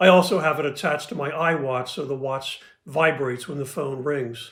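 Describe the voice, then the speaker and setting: At a fairly quick pace, a man with an ordinary speaking voice talks at a fairly high pitch with fairly even intonation and big swings in loudness. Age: 60s. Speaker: patient with hearing loss giving testimony. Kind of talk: prepared testimony.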